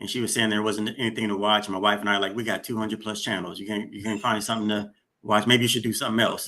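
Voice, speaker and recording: A man with a bright, sharp tone, fairly low pitch and an American accent. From Sacramento, California. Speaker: podcast host. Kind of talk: interview chat.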